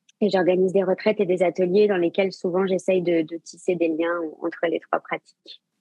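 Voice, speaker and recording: Her voice sits at medium pitch with monotone, flat intonation. The woman talks at a moderate pace with hardly any pauses. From Brittany, France (Saint-Malo). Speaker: yoga teacher and sophrologist. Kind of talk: interview. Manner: hesitant, many fillers.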